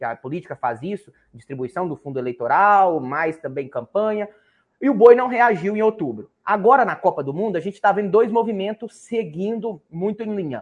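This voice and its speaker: He is a man with a high pitch who speaks at a moderate pace. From Brazil, Minas Gerais–Bahia border. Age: 20s. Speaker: livestock market analyst. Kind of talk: interview.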